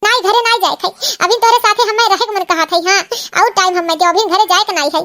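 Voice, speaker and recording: In a squeaky, cartoonish character voice, a woman speaks very fast at an extremely high pitch with ordinary pitch variation. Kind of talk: rustic cartoon comedy drama. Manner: emotional, demanding.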